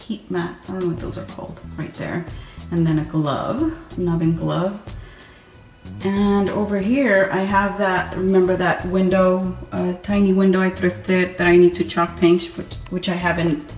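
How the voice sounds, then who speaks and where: The quiet voice moves at a fairly slow pace, with faint music in the background and audible room echo. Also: woman. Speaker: home decor vlogger. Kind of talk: home tour talk to camera. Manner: low, quiet voice. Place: kitchen. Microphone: phone near.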